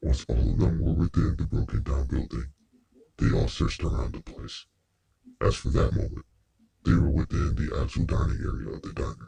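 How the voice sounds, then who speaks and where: In a put-on character voice, a man speaks at a fairly quick pace with a very deep, low pitch. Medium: audio drama. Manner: polite, precise.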